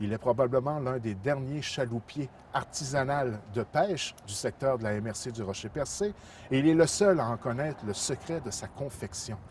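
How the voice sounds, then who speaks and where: A man's medium-pitched voice at a moderate pace, a normal speaking voice with lively intonation. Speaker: community TV reporter. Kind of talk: TV report introduction.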